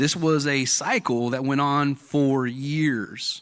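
A man with an American accent speaks at a fairly high pitch in a plain, everyday voice. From Southern California. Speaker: church member, ex-convict. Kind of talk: testimony. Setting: church service with audience.

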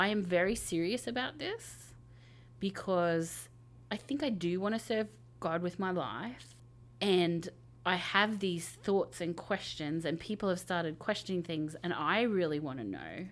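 On a very clean recording with a silent background, a woman with an ordinary speaking voice talks at a fairly slow pace, fairly low in pitch with ordinary variation. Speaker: media pastor. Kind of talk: panel discussion.

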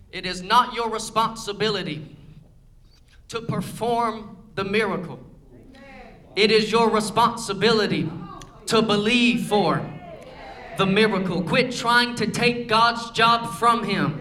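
A man speaks at a high pitch in a raised, projected voice. Long, frequent pauses break up the speech, and noticeable background noise is present. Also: ordinary pitch variation, fairly slow pace. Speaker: preacher. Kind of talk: sermon; rousing, fervent pulpit sermon with prayer and altar call. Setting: church. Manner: rhythmic, repetitive call-and-response style.

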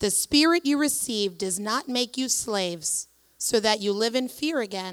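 A woman's normal speaking voice, fairly high in pitch with lively intonation, at a moderate pace, on a very clean recording with a silent background. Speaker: scripture reader at church. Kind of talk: reading aloud. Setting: church.

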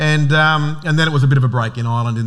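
A man's very fast speech in an Australian accent, fairly high in pitch with ordinary pitch variation, against audible room echo. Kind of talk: sermon.

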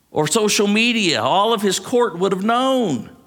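Audible room echo is present. The voice heard is a man's. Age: 50s. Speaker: pastor. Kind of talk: sermon.

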